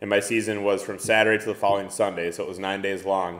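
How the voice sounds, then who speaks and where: This man has an Upper Midwest accent and a fairly low pitch. He talks very fast in a monotone, flat delivery. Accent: Upper Midwest (Minnesota). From Minnesota, near Minneapolis. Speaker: outdoor photographer and kayak angler. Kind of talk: casual chat.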